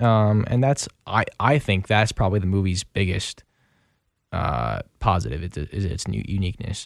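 On a very clean recording with a silent background, a man with an American accent speaks at a moderate pace. He has an unremarkable speaking voice, fairly low in pitch, with lively intonation. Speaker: radio co-host. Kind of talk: casual film review chat on radio. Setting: radio studio booth.

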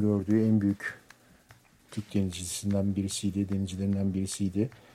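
A dark, mellow tone at a moderate pace. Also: man. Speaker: radio DJ. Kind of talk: casual radio DJ talk between songs. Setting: home, on a sofa, live broadcast.

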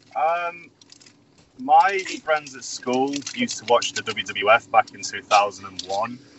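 A man with an English accent speaks very slowly at a fairly high pitch, his intonation lively. His loudness swings widely, and he pauses long and often. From England. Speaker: professional wrestler. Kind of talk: interview.

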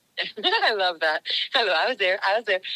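A woman speaks loudly at a medium pitch, her tone bright and sharp. The sound is dry and close, with no echo. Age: old. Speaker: nonprofit youth fitness founder. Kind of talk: casual interview. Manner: animated.

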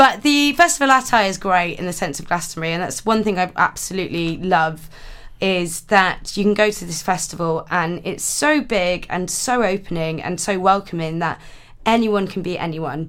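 A woman speaks with a west Welsh accent at medium pitch. Her intonation is lively, and her pace is moderate. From Wales, Pembrokeshire. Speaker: comedy radio contributor. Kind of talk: casual chat.

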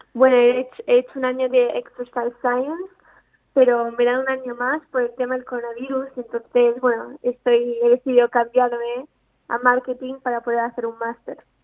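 A woman talks in a high-pitched voice. Her intonation stays monotone and flat. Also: moderate pace. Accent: Italian. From Italy, raised partly in Andalusia. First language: Italian (speaking Spanish). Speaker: amateur golfer. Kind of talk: interview.

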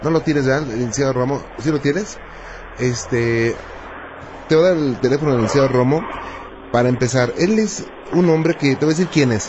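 A man's fairly high, warm voice at a fairly quick pace, with long, frequent pauses, very even loudness, ordinary pitch variation and noticeable background noise. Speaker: radio host. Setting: radio studio with phone callers. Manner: warm, polite, curious, fluent, mildly jokey, narrates cases in an intrigued tone.

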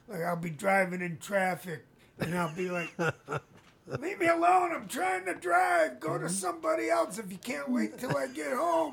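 A man talks at a moderate pace in a high pitch. Noticeable background noise runs underneath. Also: lively intonation. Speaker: radio host. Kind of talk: casual chat.

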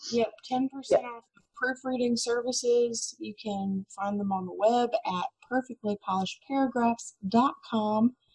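This woman has a plain, everyday voice, fairly high in pitch, with normal pitch variation, and she talks at a moderate pace. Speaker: podcast co-host. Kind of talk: casual chat, storytelling.

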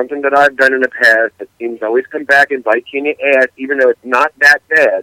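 An unremarkable speaking voice moves at a fairly quick pace with fairly even intonation, the sound dry and close with no echo. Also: man. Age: 40s. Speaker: podcast co-host. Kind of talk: casual chat.

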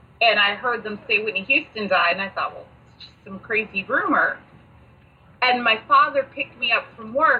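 A woman's fairly high voice at a moderate pace, ordinary pitch variation, big swings in loudness, and noticeable background noise. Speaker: podcast co-host. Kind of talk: casual chat.

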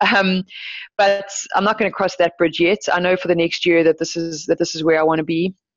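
A woman with a fairly low pitch talks at a fairly quick pace with monotone, flat intonation. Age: 30s. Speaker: professional surfski paddler. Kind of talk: podcast interview.

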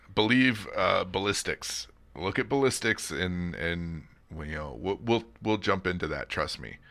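A bright, sharp tone with vocal fry and lively intonation at a fairly slow pace, on a very clean recording with a silent background. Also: man, very deep, low pitch for a man. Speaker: podcast host. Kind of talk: casual chat.

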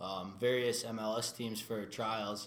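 At a fairly slow pace, a man talks with a Minnesota accent. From Minnesota (New Hope). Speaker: soccer goalkeeper. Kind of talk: interview. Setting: studio.

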